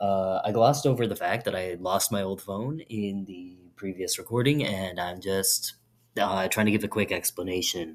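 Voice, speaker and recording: Soft-spoken and fairly low-pitched, a man talks at a moderate pace. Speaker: vlogger. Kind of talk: casual chat. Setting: bathroom. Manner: mumbling.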